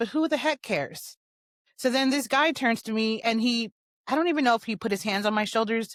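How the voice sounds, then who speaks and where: Delivered at a very fast pace in an animated tone, the speech sits in a very clean recording with a silent background. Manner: animated storytelling.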